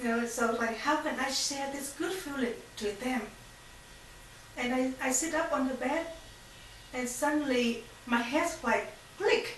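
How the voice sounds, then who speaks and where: In audible room echo, a woman with a Vietnamese accent and a high pitch speaks with ordinary pitch variation and long, frequent pauses. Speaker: faith testimony speaker. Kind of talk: testimony. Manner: halting.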